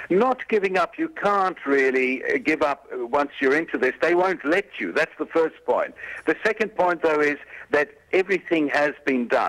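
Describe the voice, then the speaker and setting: Here is a man with an ordinary speaking voice and fairly high pitch, speaking at a moderate pace. His intonation is lively, and the sound is dry and close with no echo. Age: 60s. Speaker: interview guest, historical revisionist. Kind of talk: interview.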